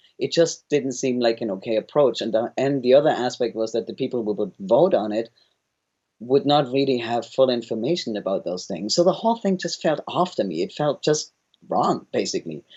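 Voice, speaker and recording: A man speaks with a German accent and lively intonation. His pace is fairly quick. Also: medium pitch for a man. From Germany. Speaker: founder of a governance organization. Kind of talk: interview.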